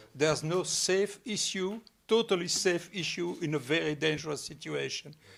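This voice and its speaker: A man's high voice with a French accent, ordinary pitch variation and a moderate pace. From Belgium. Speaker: ecosocialist speaker. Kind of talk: public talk Q&A. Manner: halting.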